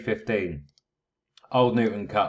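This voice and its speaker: A man with a British accent talks at a medium pitch. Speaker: horse racing tipster. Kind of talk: video analysis talk. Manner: casual, many filler words.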